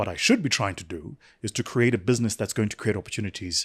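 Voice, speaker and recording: Somewhat breathy, a man speaks at a very fast pace in a dry, close sound with no echo. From South Africa. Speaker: entrepreneur and business speaker. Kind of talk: podcast interview. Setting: studio with small crew.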